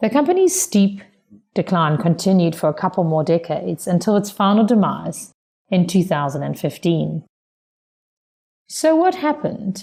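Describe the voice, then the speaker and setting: A dark, mellow tone in a South African accent, with vocal fry, lively intonation, very even loudness, a moderate pace and long, frequent pauses. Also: woman, medium pitch for a woman. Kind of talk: prepared speech for interpreting practice.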